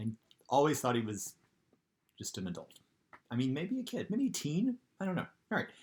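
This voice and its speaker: Somewhat breathy and fairly high for a man, this voice moves at a fairly quick pace with very wide pitch swings and long, frequent pauses. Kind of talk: casual comedic read-aloud of a children's book with commentary. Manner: tipsy, jokey, chatty.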